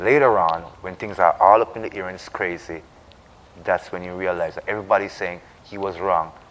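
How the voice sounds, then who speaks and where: Over noticeable background noise, a man talks at a moderate pace. His pitch sits fairly low. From Jamaica. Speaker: Rastafarian discussion co-host. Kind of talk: religious reasoning discussion. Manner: emphatic, repetitive.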